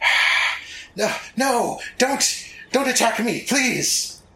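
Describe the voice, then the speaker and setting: A man does a put-on character voice at an extremely high pitch, with audible echo around him. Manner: hissing, pleading.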